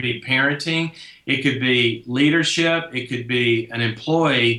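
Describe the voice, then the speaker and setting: A man talks with a slight Southern US accent. There is noticeable background noise. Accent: hint of a southern drawl. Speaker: clinical psychologist and leadership expert. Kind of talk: interview answer. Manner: casual, disarming.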